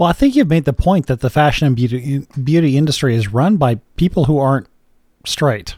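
A man's fairly high, somewhat breathy voice with a dark, mellow tone, very even loudness, ordinary pitch variation and a fairly quick pace, in a dry, close sound with no echo on a very clean recording with a silent background. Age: 40s. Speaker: podcast host. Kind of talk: casual chat.

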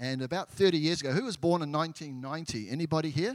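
A man with a New Zealand accent, fairly high in pitch, at a moderate pace. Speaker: church member, former missionary. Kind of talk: testimony.

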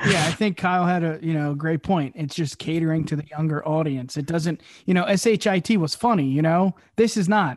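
An ordinary speaking voice from a man, with ordinary pitch variation. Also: fairly high pitch for a man, moderate pace. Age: 30s. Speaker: wrestling podcast host. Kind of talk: casual chat.

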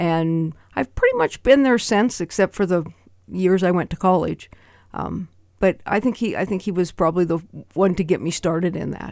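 On a very clean recording with a silent background, a woman with a plain, everyday voice and a fairly low pitch speaks in an American accent at a moderate pace. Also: ordinary pitch variation. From Montana, US. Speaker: percussionist and retired music teacher. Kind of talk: radio interview. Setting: radio studio.

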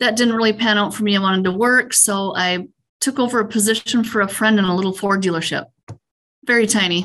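Here a woman with a Minnesota accent talks at a very fast pace. Her pitch is medium and her intonation fairly even. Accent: Upper Midwest (Minnesota). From central Minnesota. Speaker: utility fleet manager. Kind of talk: interview.

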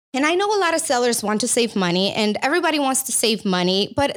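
An enthusiastic woman with a slight Romanian accent speaks at a high pitch, swinging her pitch very widely. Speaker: company CEO. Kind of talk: casual interview. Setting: studio. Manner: enthusiastic, laughs often.

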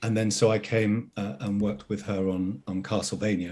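The voice is a man's, pitched fairly low. He speaks at a fairly slow pace. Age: 50s. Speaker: actor. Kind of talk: casual chat.

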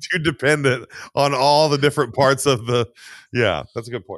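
A man with a normal speaking voice talks at a fairly high pitch, with ordinary pitch variation. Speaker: podcast co-host. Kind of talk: casual chat.

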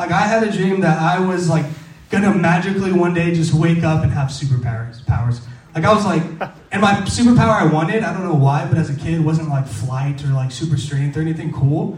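A man speaks at a fairly quick pace in a fairly high pitch with ordinary pitch variation, with audible room echo and noticeable background noise. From Mexican-American, US. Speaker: youth pastor. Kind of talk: sermon; casual chat. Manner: animated.

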